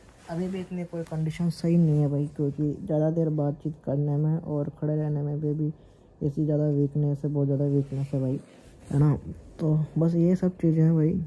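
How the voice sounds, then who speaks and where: A man speaks at a moderate pace in a tired tone, somewhat breathy, dark and mellow. His intonation is monotone and flat. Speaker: vlogger. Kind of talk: casual vlog chat. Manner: weak, tired voice of a sick man. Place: home room. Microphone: phone near.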